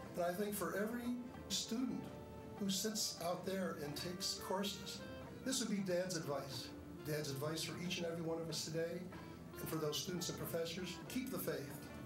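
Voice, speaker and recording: Speech moves at a moderate speed while clear music sounds behind it. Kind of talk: tribute speech. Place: hall. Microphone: podium.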